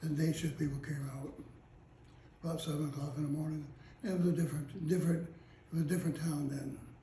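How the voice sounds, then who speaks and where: A man talks at a fairly quick pace in a fairly high pitch. His intonation is monotone and flat, with noticeable background noise behind him. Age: 80s+. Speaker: retired police detective. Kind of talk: interview answer.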